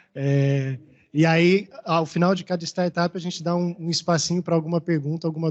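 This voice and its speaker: A man with a Maranhão accent speaks at a moderate pace. His pitch is fairly high, and his intonation stays fairly even. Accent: Maranhão Brazilian Portuguese. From Maranhão, Brazil. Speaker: event moderator. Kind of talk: event moderation.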